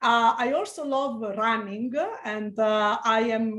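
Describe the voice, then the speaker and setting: The voice has an Italian accent. Its intonation stays fairly even. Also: woman. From Italy. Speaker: physician researcher. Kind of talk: interview. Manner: halting.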